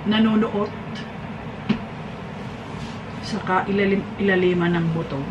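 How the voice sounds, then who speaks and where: Noticeable background noise sits behind a woman speaking with ordinary pitch variation. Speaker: home vlogger. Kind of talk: casual vlog chat. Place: kitchen. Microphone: camera far.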